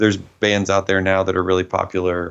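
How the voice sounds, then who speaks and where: The speaker has a slight Southern US accent and a monotone, flat intonation. The pace is fairly quick. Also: man. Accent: mild Southern US. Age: 30s. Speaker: metal band vocalist. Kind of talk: interview.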